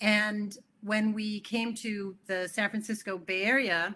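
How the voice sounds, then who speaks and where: A woman with a Californian accent speaks in a bright, sharp tone. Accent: General American (California). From California, US (early years in Italy and Switzerland). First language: Italian. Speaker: keynote speaker, tech community director, former teacher. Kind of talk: conference keynote talk. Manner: conversational with many fillers.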